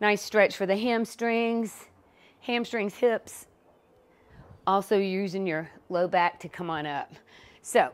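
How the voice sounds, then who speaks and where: A woman talks fairly slowly, her pitch varying in an ordinary way. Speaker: fitness instructor. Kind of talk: workout tutorial instruction.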